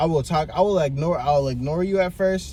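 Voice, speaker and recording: An animated male voice with ordinary pitch variation over noticeable background noise. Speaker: vlogger giving life advice. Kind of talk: casual monologue. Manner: soft-spoken.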